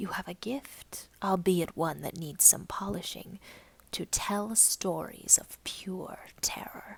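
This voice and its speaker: In a put-on character voice, a female-sounding speaker whispers and growls at a fairly slow pace. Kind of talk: horror narration. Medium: read story. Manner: solemn, terse, imperious.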